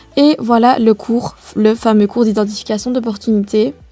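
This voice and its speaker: A woman with a Liège accent speaks in a fairly high pitch with a dark, mellow tone. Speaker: vlogger, business student. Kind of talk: voice-over narration of vlog. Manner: ironic, gentle.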